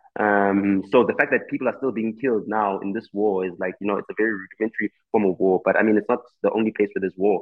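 Music plays in the background as a man with a fairly low pitch speaks in fairly even intonation. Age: 30s. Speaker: rapper and record producer. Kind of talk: casual chat.

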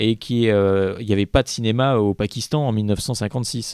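Dry and close with no echo, the very clean recording with a silent background carries a man's medium-pitched voice with a dark, mellow tone. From Paris. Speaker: film festival programmer. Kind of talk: casual chat.

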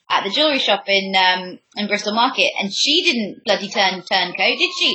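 A woman speaks with an English accent at a fairly quick pace. Her pitch is medium. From England. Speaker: podcast host. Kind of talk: interview.

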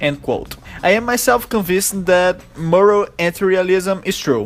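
A man with a Brazilian accent and a high pitch, with noticeable background noise. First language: Portuguese. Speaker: podcast host. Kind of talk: interview. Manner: halting.

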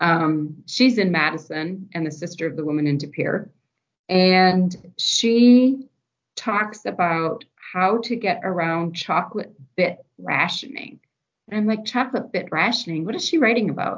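In an ordinary speaking voice, a woman of medium pitch talks at a fairly slow pace with lively intonation. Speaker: university archivist. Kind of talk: casual interview chat.

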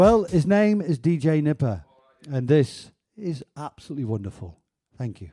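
A man speaks with fairly high pitch, very wide pitch swings and big swings in loudness. His somewhat breathy voice has a dark, mellow tone and a relaxed, upbeat tone. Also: moderate pace. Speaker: club night DJ and radio host. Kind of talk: radio DJ patter, live show banter between tracks. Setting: studio, live broadcast from a bunker. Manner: chatty, jokey, relaxed and upbeat.

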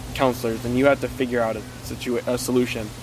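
A northern Minnesota accent against noticeable background noise. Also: man. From small town in northern Minnesota. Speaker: summer camp counselor, podcast guest. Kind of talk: casual conversational.

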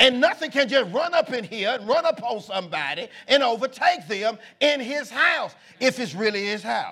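An extremely high-pitched, raised and projected male voice, bright and sharp in tone and animated, with very wide pitch swings at a moderate pace. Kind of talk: sermon, preacher in full flow. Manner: animated, call-and-response, exhorting the congregation; emphatic, repetitive, rhythmic preaching cadence.

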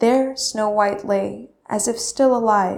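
What comes through is a natural reading voice.

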